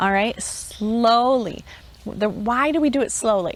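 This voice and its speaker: A woman's plain, everyday voice at a fairly slow pace with fairly even intonation. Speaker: homeschool teacher trainer. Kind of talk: conference talk.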